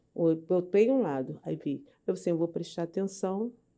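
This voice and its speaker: Lively intonation marks a woman's voice with a dark, mellow tone. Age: 70s. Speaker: cancer survivor, patient. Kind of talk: interview testimony. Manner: halting.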